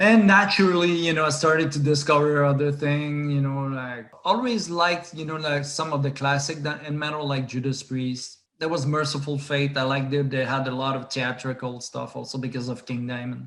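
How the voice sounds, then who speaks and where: Speaking at a fairly high pitch, a man talks with hardly any pauses. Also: ordinary pitch variation, fairly quick pace. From Quebec, Saguenay region. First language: French. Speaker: metal band founder and musician. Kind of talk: interview. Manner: halting.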